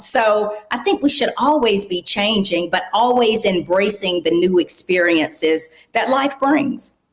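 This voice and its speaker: Noticeable background noise runs under the recording. A woman speaks with a fairly high pitch. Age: 60s. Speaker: podcast host and aging advocate. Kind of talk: interview.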